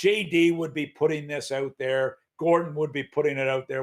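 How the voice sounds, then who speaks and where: Fairly quick pacing marks this male speaker. His intonation is fairly even. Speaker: hockey commentator. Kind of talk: casual sports talk show. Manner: loud.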